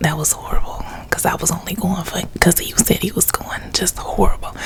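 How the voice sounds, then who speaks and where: A woman whispers rather quickly while distinct background noise carries on behind her. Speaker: ASMR YouTuber. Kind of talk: story time, casual talk to camera. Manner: soft-toned, chatty, humorous.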